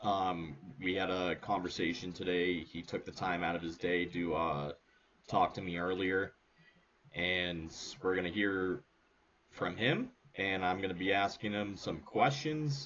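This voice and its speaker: A man speaks quietly and at a fairly slow pace, his very deep, low voice showing ordinary pitch variation. He leaves long, frequent pauses. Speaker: podcast host. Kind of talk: episode introduction. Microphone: microphone very quiet.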